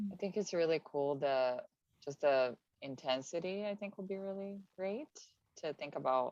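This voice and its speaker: In a dry, close sound with no echo, a woman with a very deep, low voice speaks at a fairly slow pace with lively intonation and long, frequent pauses. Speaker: actor in workshop. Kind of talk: casual discussion.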